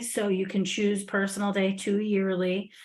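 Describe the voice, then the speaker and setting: Her pitch medium, a woman speaks in a monotone with flat intonation. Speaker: staff trainer. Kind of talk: software training walkthrough. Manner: hesitant, many fillers.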